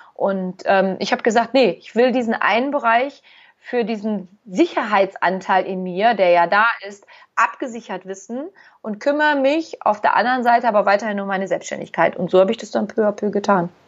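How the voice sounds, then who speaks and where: At a moderate pace, a woman talks in an ordinary speaking voice, fairly high in pitch, with ordinary pitch variation and big swings in loudness. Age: 40s. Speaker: therapist. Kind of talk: casual chat.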